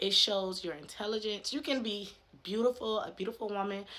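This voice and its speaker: This woman has a bright, sharp tone and a medium pitch. She speaks at a moderate pace with ordinary pitch variation. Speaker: faith lifestyle vlogger. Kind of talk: casual vlog monologue.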